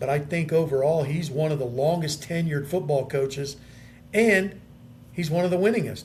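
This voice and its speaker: Against audible room echo, a man with an American accent speaks at a moderate pace in a fairly high pitch with ordinary pitch variation. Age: 60s. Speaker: radio sports talk host. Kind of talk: casual chat. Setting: hotel.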